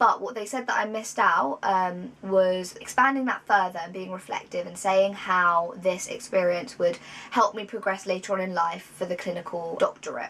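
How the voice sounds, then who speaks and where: Big swings in loudness mark a woman's speech in a British accent. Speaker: vlogger, psychology graduate. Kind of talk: casual vlog talk. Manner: fast.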